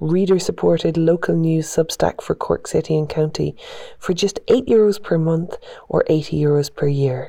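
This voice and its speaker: A woman keeps a moderate pace while noticeable background noise plays behind her. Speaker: podcast interviewer. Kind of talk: interview.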